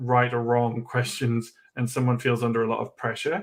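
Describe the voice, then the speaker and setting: A man with a Geordie accent, medium pitch, moderate pace. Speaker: education trainer. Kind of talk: online workshop.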